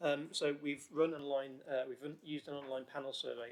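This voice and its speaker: A man delivers his lines at a fairly high pitch in a monotone, flat intonation. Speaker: research team manager. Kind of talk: presentation of survey results. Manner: fast.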